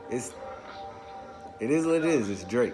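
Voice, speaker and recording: Over music in the background, a man speaks with an animated tone at a fairly high pitch. His pace is moderate, and there is audible room echo. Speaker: music vlogger. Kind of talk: casual album countdown monologue. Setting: garage. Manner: animated, stumbling over words.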